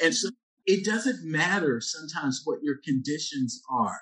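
With an American accent, a man talks at a moderate pace. His pitch swings very widely. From Philadelphia, Pennsylvania. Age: 40s. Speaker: epidemiologist and activist. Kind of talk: casual chat. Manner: reflective, uses many filler words.

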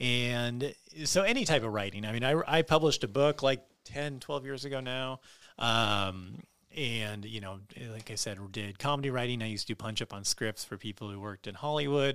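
A man with an American accent speaks at a moderate pace in a medium pitch, a plain, everyday voice with ordinary pitch variation and big swings in loudness, on a very clean recording with a silent background. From Southern California (LA, Long Beach), then western Montana. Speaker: comedian. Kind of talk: casual chat. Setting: studio.

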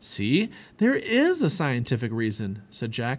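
On a very clean recording with a silent background, the voice has an animated, dramatic tone, somewhat breathy, with very wide pitch swings. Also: man. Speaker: audiobook narrator. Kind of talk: reading aloud a children's story, dramatic narration. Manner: animated, expressive, voicing characters with dramatic pacing.

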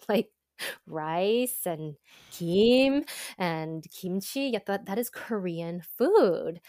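Speaking very slowly in an American accent, the voice comes through a very clean recording with a silent background. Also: woman, medium pitch for a woman. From Southern California, suburbs of Los Angeles. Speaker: content creator and former TV news reporter. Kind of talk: casual interview chat.

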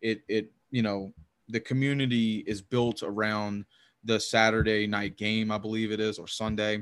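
On a very clean recording with a silent background, a man with a Louisiana accent speaks at a moderate pace in a fairly low, monotone voice. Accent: Southern US (Louisiana). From US South, Louisiana. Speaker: hockey podcaster. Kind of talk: casual chat.

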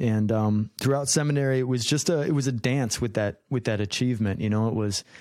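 A normal speaking voice with an American accent moves at a fairly quick pace, with hardly any pauses and ordinary pitch variation. The recording is very clean, with a silent background. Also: man, medium pitch for a man. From Minnesota. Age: 30s. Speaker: musician and business owner. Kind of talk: interview.

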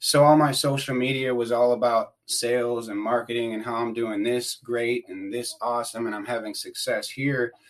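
With an American accent, a man speaks at a moderate pace and a medium pitch, his intonation monotone and flat. He hardly pauses, and the background is quiet. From US Midwest, Wisconsin. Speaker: addiction recovery worker, former prisoner. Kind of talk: casual interview, personal recovery story. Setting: podcast recording.

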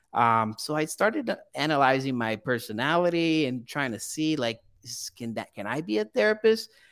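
A man with a Portuguese accent and a fairly high pitch speaks at a moderate pace with hardly any pauses and very wide pitch swings, recorded very cleanly over a silent background. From Brazil. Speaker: graduate counseling student. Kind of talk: interview.

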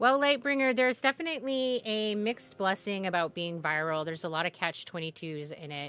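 With music in the background, a woman talks at a fairly quick pace and medium pitch, making very wide pitch swings and hardly any pauses. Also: big swings in loudness. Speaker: streamer. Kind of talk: casual chat with live viewers. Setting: livestream with chat. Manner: chatty, animated.

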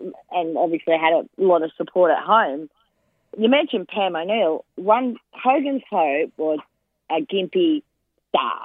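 A woman with an Australian accent at medium pitch, fairly slow, with very wide pitch swings. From Queensland, Australia. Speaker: former jockey and racing broadcaster. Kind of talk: casual chat. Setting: phone call.

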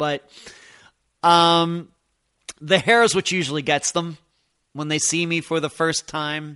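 A loud voice in an American accent moves at a fairly slow pace with long, frequent pauses. The intonation stays fairly even, and the sound is dry and close with no echo. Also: man, fairly high pitch for a man. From Pennsylvania. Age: 50s. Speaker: true crime podcast host. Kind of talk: podcast Q and A monologue. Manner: loud, voice carries.

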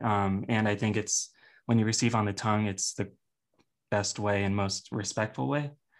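A man's normal speaking voice with fairly even intonation, against a quiet background. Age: 20s. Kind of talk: casual interview chat.

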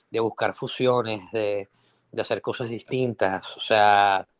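The sound is dry and close, with no echo. A man with a Venezuelan accent talks at a medium pitch with fairly even intonation. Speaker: record label A&R director. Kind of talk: casual chat. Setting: online audio room. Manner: halting, many repetitions.

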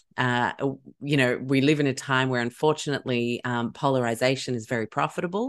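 Speaking with an American accent, a woman talks at a fairly quick pace with hardly any pauses, her very deep, low pitch following a fairly even intonation. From Chicago, London and Sydney. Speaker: wellness author and educator. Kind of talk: interview.

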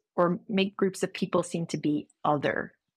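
A woman in a Newfoundland accent at a moderate pace with fairly even intonation, on a very clean recording with a silent background and a dry, close sound with no echo. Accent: Canadian (Newfoundland). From Newfoundland, Canada. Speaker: history professor. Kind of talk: interview.

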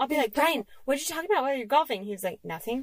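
Noticeable background noise sits behind a woman speaking very fast. Her pitch is high and her intonation lively. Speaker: podcast co-host. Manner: casual, chatty.

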